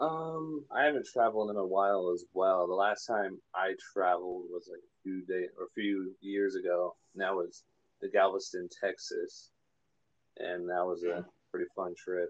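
A man's loudness rises and drops in big swings while he keeps a moderate pace. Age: 20s. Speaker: music composer. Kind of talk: casual interview. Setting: phone call.

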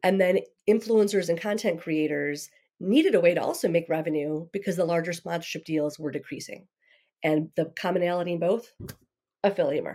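At a fairly quick pace, a normal speaking voice with ordinary pitch variation comes through on a very clean recording with a silent background. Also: woman, fairly low pitch for a woman. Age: 40s. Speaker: digital marketing expert. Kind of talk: casual interview chat.

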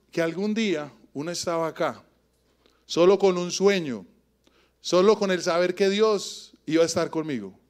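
In an Antioquian accent, a man speaks at a high pitch in an animated tone, with ordinary pitch variation and long, frequent pauses. The recording is very clean, with a silent background. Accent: Colombian paisa Spanish. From Colombia, Antioquia (Yarumal, raised in Medellín). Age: 40s. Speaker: preacher. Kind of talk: sermon.

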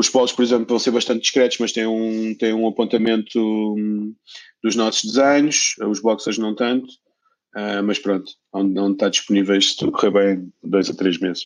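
At a moderate pace, a man speaks in a medium-pitched voice with fairly even intonation. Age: 40s. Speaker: sock brand founder. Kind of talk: casual interview. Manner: hesitant, with many repetitions.

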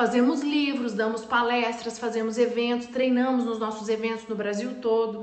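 This woman's voice is high-pitched and moves at a moderate pace. Noticeable background noise and audible room echo surround her. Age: 40s. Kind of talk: motivational live stream talk. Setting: live video stream.

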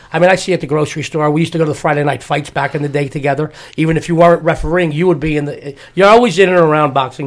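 With a New York accent, a man talks at a very fast pace and a fairly high pitch with fairly even intonation. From New York (Lower East Side, Manhattan). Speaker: podcast co-host, sports handicapper, former amateur boxer. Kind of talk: casual interview chat. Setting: studio.

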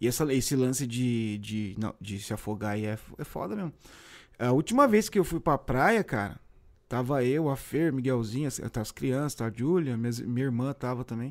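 A man speaks at a medium pitch and a moderate pace, with ordinary pitch variation and an unremarkable speaking voice. The recording is very clean, with a silent background. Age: 40s. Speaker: podcast host. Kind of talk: casual chat. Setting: live stream.

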